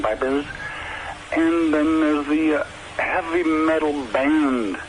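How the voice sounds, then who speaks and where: A man with an American accent, his pitch fairly high, with noticeable background noise. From US Northeast, Providence, Rhode Island. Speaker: rock musician. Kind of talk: radio interview.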